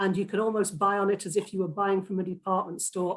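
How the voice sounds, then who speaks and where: A woman speaks with a Lancashire accent. Her pitch is medium. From Lancashire, northern England. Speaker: political candidate. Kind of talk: hustings debate answer.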